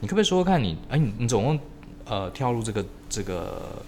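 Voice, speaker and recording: Audible room echo surrounds a man speaking at a fairly quick pace with very wide pitch swings. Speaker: podcast host. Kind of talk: casual interview chat.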